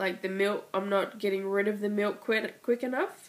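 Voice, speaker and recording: A woman speaks with an Australian accent. Her pitch is fairly high and her intonation fairly even. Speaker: mother. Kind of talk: casual vlog talk to camera.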